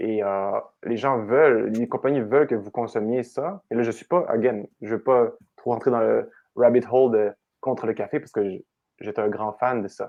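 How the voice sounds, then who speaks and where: Male speech of medium pitch, varying in an ordinary way. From Quebec, Canada. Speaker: coach. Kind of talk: podcast interview answer.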